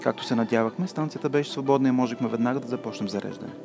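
Over music in the background, a man talks at a very fast pace. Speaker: travel narrator. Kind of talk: documentary narration.

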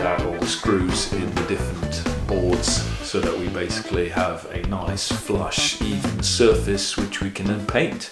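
A man talks at a moderate pace, with clear music audible behind him. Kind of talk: casual vlog chat. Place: empty room. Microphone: camera far.

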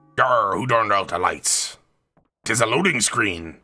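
The man puts on a character voice and keeps to a moderate pace. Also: medium pitch for a man. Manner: comic, playful.

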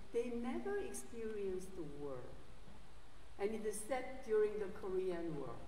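At a fairly slow pace, a woman speaks with lively intonation, with audible room echo and light background noise. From South Korea. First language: Korean. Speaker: theology professor and guest preacher. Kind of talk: sermon. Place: church.

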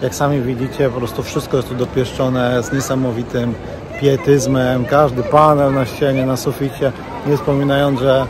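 Over noticeable background noise, a man speaks at a moderate pace with monotone, flat intonation in a dry sound with no echo. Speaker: travel vlogger. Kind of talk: casual vlog chat. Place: hall. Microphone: phone near.

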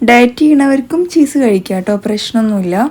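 This woman's voice has a dark, mellow tone. Her pitch is fairly high. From Kerala, Palakkad. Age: 30s. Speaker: vlogger, homemaker. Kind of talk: casual vlog narration; cooking tutorial.

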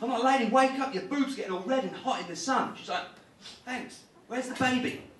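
A man at an extremely high pitch, fairly quick pace and ordinary pitch variation, with audible room echo and light background noise. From United Kingdom. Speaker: stand-up comedian. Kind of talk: live stand-up comedy set. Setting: live comedy club.

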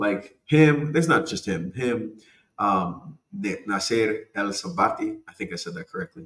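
A man's fairly high voice with vocal fry, an animated tone, very wide pitch swings, big swings in loudness and a fairly slow pace. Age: 40s. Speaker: podcast host. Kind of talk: casual monologue.

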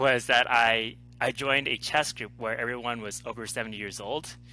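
Bright and sharp in tone with vocal fry, a man speaks in a monotone, flat way at a moderate pace, the sound dry with no echo. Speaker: interview guest, life coach. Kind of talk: interview answer. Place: home room. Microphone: headset.

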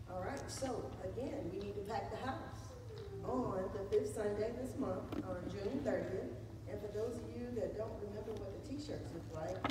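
Moderate-paced speech over loud background noise, with audible room echo. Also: woman. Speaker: church announcer. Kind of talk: church announcements. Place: church. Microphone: camera far.

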